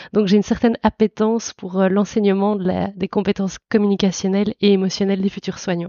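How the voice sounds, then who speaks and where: Talking at a fairly quick pace, a woman with a slight Belgian accent keeps a medium pitch and a monotone, flat intonation. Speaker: psychologist and university lecturer. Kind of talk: podcast interview. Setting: audio podcast.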